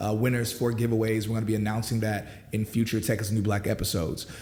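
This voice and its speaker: With an upbeat tone, a man talks at a very fast pace over noticeable background noise. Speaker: podcast host. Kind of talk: casual talk to camera. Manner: casual, upbeat.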